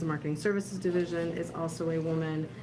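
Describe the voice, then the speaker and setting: With fairly even intonation, a woman speaks at a fairly low pitch amid audible room echo. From Miami, Florida. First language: Spanish. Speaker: newspaper publisher. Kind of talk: roundtable discussion. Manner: hesitant, many fillers.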